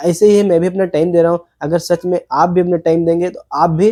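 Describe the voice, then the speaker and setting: A man's high, dark and mellow voice at a moderate pace, monotone and flat, with a dry, close sound and no echo. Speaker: import-export student vlogger. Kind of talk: vlog tutorial. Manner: halting.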